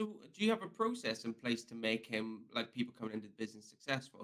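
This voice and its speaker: Using a Northern Irish accent, a man speaks at a fairly quick pace and medium pitch, with a bright, sharp tone and fairly even intonation. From Northern Ireland. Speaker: podcast host. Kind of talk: casual interview.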